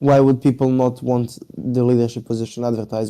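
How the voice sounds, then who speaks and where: A man talks with fairly even intonation in a dark, mellow tone. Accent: non-native. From Europe. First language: not English. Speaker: gaming clan leader. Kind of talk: casual interview.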